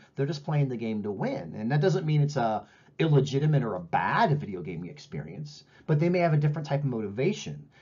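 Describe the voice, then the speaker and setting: The man's voice has a somewhat breathy quality. He speaks fairly quickly, his intonation lively. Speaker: professor. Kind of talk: lecture. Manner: fast.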